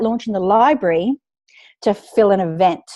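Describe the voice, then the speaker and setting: A woman with a slight Australian accent speaks at a moderate pace in a dark, mellow tone. The sound is dry and close, with no echo. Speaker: book publicity expert. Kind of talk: webinar presentation. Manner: animated.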